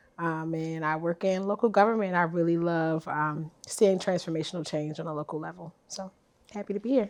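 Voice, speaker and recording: A woman with a strong Baltimore accent, a fairly low pitch, a fairly quick pace and big swings in loudness. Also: ordinary pitch variation. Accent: thick Baltimore. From Baltimore, US. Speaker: political strategist. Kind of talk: casual chat.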